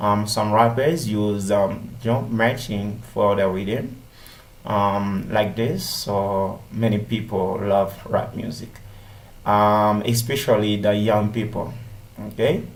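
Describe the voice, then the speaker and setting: At a very slow pace, a man speaks in a fairly low pitch with fairly even intonation, and room echo is audible. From Haiti. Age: 30s. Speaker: English language student. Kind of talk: class presentation. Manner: halting, many fillers.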